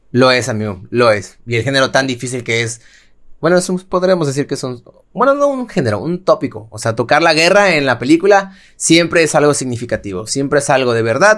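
Over a silent background in a very clean recording, a man with a Mexican accent talks at a fairly quick pace in a fairly high pitch. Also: lively intonation. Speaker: podcast co-host. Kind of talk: casual chat.

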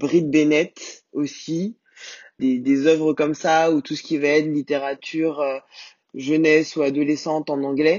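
Very deep and low in pitch, a woman speaks at a fairly slow pace with monotone, flat intonation. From Guadeloupean family, France. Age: 30s. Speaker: book club host. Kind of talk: casual interview. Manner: hesitant, many fillers.

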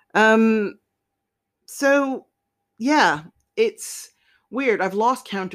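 A woman talks with lively intonation on a very clean recording with a silent background. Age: 40s. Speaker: podcast host. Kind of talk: solo monologue podcast. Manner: hesitant, many fillers.

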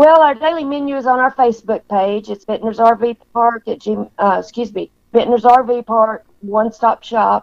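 A woman with a fairly high pitch speaks at a moderate pace in an ordinary speaking voice, with ordinary pitch variation. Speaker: RV park deli staff. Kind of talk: casual interview chat.

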